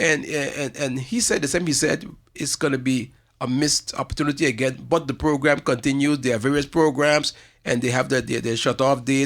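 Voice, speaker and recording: In a St Maarten accent, a man with a fairly high pitch talks at a fairly quick pace with fairly even intonation on a very clean recording with a silent background. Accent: St. Maarten Caribbean English. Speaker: community organization representative. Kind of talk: radio talk show interview. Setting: radio studio, live streamed. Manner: fast; halting, many repetitions.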